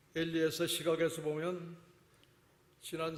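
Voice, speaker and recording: Amid audible room echo, a man talks at a very slow pace in a fairly high pitch. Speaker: guest preacher. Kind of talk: sermon. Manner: deliberately slow.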